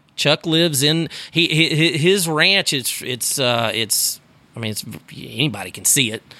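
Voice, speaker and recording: In a Texan accent, a man speaks with a bright, sharp tone and fairly high pitch at a moderate pace. His intonation is lively, his loudness swings widely, and the recording is very clean with a silent background. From Texas, Sugarland near Houston. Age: 40s. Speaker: rodeo announcer. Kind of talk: casual chat. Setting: room by the Gulf of Mexico with door open.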